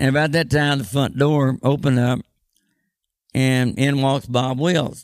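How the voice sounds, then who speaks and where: This man talks with a Texan accent and fairly even intonation. He leaves long, frequent pauses. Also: medium pitch for a man, fairly slow pace, very even loudness. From Austin, Texas. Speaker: honky-tonk owner. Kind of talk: casual interview.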